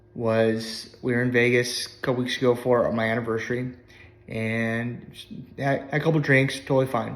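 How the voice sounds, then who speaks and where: A man speaks in a medium pitch with fairly even intonation. Audible room echo is present. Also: long, frequent pauses. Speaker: life coach. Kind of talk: testimony. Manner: casual, conversational.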